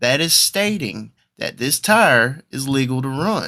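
In a very clean recording with a silent background, a man with a Southern US accent talks very slowly in a bright, sharp tone. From South Carolina, Marion. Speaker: podcast co-host and race announcer. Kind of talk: casual chat. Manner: monotone; halting.

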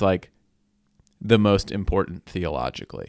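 A man speaks at a moderate pace in an unremarkable speaking voice with ordinary pitch variation. The sound is dry and close, with no echo. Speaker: podcast co-host. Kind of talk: casual banter, Q&A.

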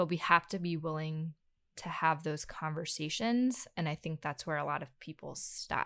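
A woman with an American accent has a very deep, low voice and a bright, sharp tone. She talks at a moderate pace with ordinary pitch variation, recorded dry and close with no echo. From US South, North Carolina. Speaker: podcast host, therapist. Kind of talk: casual interview chat.

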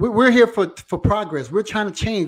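A man speaks at a moderate pace. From Louisiana, Donaldsonville. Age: 40s. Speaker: internet radio host. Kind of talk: live talk show discussion. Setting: live online broadcast.

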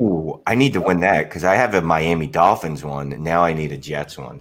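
A man speaks at a fairly quick pace, with big swings in loudness. Noticeable background noise runs behind him. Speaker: podcast guest.

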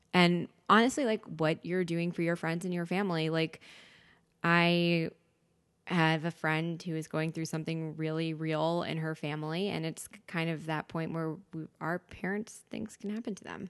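A plain, everyday voice from a woman with an American accent, fairly low in pitch with fairly even intonation, at a moderate pace with big swings in loudness, over a quiet background. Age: 30s. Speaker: podcast guest. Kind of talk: casual chat.

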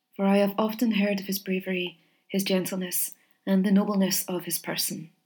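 Plain reading aloud is heard. There is a quiet background.

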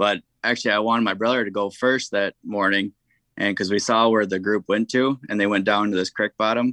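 A man with an Upper Midwest accent, fairly low in pitch, monotone and flat, bright and sharp in tone, very even in loudness, at a fairly quick pace, with a dry, close sound, no echo and a quiet background. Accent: Upper Midwest American. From southeast Minnesota. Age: 20s. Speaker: hunter. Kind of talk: casual interview.

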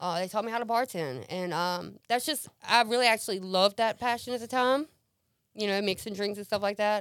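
The voice is an unremarkable speaking voice with ordinary pitch variation. The recording is very clean, with a silent background. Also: woman. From US South, central Mississippi. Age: 30s. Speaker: recovering addict. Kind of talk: testimony. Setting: studio.

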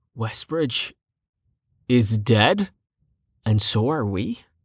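A put-on character voice from a woman, extremely low in pitch with big pitch swings and a slightly husky edge, at a very slow pace on a very clean recording with a silent background

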